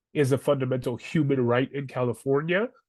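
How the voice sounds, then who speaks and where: In an ordinary speaking voice, a man speaks at a moderate pace with a fairly high pitch and fairly even intonation. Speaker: housing advocacy educator. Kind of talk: webinar presentation.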